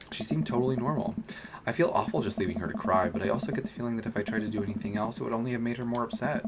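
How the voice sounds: The voice reads aloud in a natural way.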